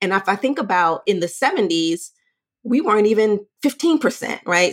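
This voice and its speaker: A woman with an American accent speaks in a plain, everyday voice at a moderate pace with lively intonation. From Brooklyn, New York. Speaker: leadership career coach. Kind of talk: interview.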